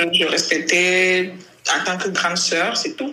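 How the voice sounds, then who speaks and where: Noticeable background noise sits behind a woman talking at a fairly slow pace. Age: 30s. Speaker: LGBT rights activist. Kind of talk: interview.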